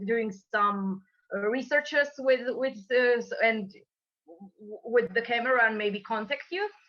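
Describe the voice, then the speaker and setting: A woman with a Croatian accent speaks at a fairly slow pace, her fairly high pitch showing ordinary variation. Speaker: moderator. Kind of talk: webinar moderation. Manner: halting.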